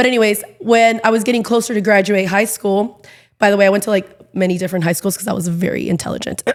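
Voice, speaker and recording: Speaking at a very fast pace with a Southern California accent, a woman sounds animated at a medium pitch. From Inland Empire, Southern California. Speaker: TV host and entertainer. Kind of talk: podcast interview.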